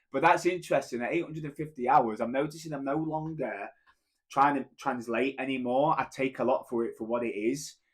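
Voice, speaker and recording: A man speaks with a strong British accent. His pitch sits fairly high and varies in an ordinary way. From Britain. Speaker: language learner vlogger. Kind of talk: casual vlog monologue. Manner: halting with fillers and restarts.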